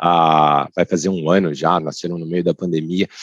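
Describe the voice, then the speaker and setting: A man talks with fairly even intonation. The sound is dry and close, with no echo. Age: 30s. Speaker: lawyer in finance. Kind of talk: casual chat. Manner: halting.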